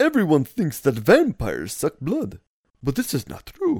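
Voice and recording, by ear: The speaker uses a put-on character voice pitched in the middle range. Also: moderate pace.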